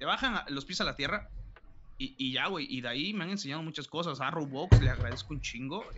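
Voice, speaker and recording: This man has an ordinary speaking voice, pitched fairly high. He speaks at a fairly quick pace with lively intonation. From Mexico, Oaxaca. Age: 20s. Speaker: esports caster and student. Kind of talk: casual interview chat. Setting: live stream.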